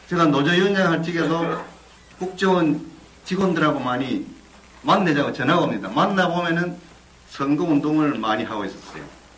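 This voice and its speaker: Amid noticeable background noise and audible room echo, a man with a fairly high pitch and lively intonation speaks at a moderate pace with long, frequent pauses. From South Korea, Busan. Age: 60s. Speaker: whistleblower, former union leader. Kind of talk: testimony.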